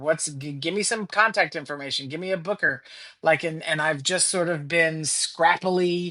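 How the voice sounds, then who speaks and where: A woman with an American accent at a moderate pace, her fairly low pitch carrying a bright, sharp tone and ordinary pitch variation. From Louisiana, Lake Charles. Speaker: comedian. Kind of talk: casual interview chat.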